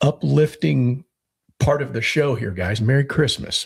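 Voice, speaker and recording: A man's medium-pitched voice with vocal fry, lively intonation and a fairly slow pace. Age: 60s. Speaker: podcast co-host, homesteader. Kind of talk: casual chat. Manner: halting, with repetitions.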